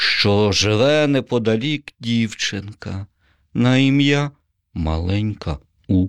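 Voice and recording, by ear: A quiet background, with reading aloud in a natural voice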